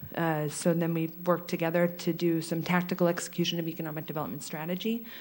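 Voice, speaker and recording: Over audible room echo, a woman speaks at a fairly quick pace with a fairly low pitch. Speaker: chamber of commerce president. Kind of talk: presentation. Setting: public meeting in a hall. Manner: fast.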